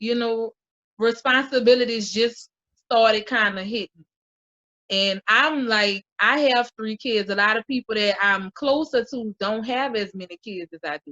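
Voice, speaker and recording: A woman with a New Orleans accent talks at a fairly slow pace in a bright, sharp tone, her fairly high pitch varying in an ordinary way. Her loudness swings widely, and the sound is dry and close with no echo over a quiet background. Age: 20s. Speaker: mother and YouTuber. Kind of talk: casual chat.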